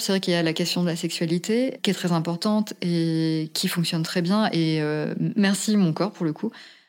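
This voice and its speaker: Over noticeable background noise, a woman talks at a moderate pace with fairly even intonation and a medium pitch. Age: 40s. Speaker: podcast interviewee sharing personal story. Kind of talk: testimony.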